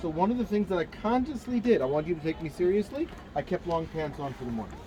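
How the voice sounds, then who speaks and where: The speech races at a very fast pace with very wide pitch swings amid noticeable background noise. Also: man, high pitch for a man. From Jerusalem, Israel. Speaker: tour guide instructor. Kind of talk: lecture.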